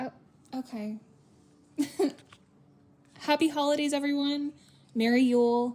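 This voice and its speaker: A woman at a high pitch, fairly slow pace, fairly even intonation, and long, frequent pauses. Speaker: aquarium worker. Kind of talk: casual holiday greeting with a pun joke. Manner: playful, jokey.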